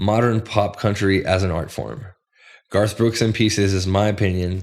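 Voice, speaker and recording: The recording is very clean, with a silent background. A man with a plain, everyday voice speaks at a moderate pace. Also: fairly low pitch for a man, fairly even intonation. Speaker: music producer and bass player. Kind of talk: casual chat.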